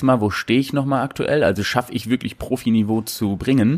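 This is a man with an unremarkable speaking voice, medium in pitch, moving at a fairly quick pace with ordinary pitch variation. The recording is very clean and the background silent. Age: 20s. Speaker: bodybuilder and prep coach. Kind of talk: casual interview.

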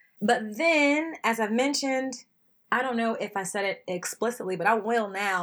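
The voice has an animated tone and lively intonation. Its pace is fairly slow. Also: woman. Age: 30s. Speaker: ultimate player and equity consultant. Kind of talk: interview.

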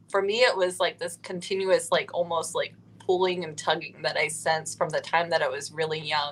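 With an American accent, a woman talks at a fairly quick pace. She leaves hardly any pauses. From Ohio, US. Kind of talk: interview.

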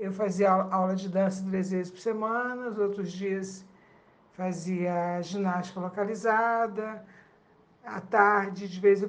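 Audible room echo surrounds a woman who speaks fairly slowly at medium pitch with ordinary pitch variation. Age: 60s. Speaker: retiree. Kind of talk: recorded testimony.

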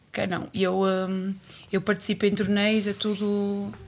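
A woman speaks at a very slow pace. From Cape Verde. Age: 30s. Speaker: boxer. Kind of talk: casual chat.

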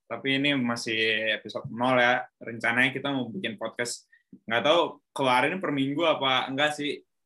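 At a moderate pace, a man speaks at medium pitch with ordinary pitch variation in a plain, everyday voice. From Indonesia, Bandung. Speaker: podcast host. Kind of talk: casual chat.

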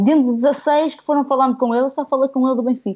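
A woman against a quiet background. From northern Portugal, village near Guimarães. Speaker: football industry professional and fan. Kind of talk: casual chat.

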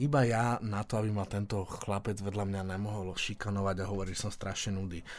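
A man with an unremarkable speaking voice, fairly low in pitch, fairly quick, hardly any pauses and fairly even intonation, on a very clean recording with a silent background. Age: 40s. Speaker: businessman and podcast co-host. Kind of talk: casual chat.

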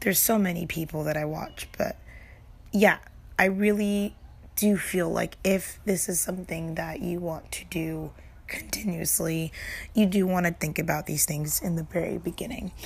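A woman speaks at a fairly slow pace in a medium pitch, her voice somewhat breathy. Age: 20s. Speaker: streamer and podcast host. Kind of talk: casual solo podcast talk. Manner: casual and conversational.

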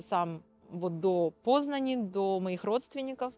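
A woman at medium pitch with ordinary pitch variation, over noticeable background noise. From Odesa, Ukraine. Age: 40s. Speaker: dance teacher and volunteer. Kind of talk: interview testimony.

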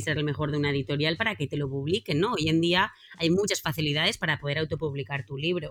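A woman talks in an animated tone at a fairly quick pace. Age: 30s. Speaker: team facilitator and author. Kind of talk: interview.

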